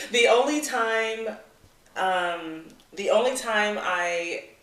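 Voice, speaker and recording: A woman speaks with lively intonation. There is audible room echo and noticeable background noise. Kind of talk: casual chat. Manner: halting.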